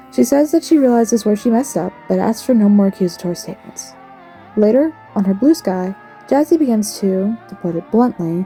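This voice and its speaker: A woman speaks at a medium pitch with very wide pitch swings, music playing in the background. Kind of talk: commentary video narration. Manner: fast, slightly slurred speech with stutters.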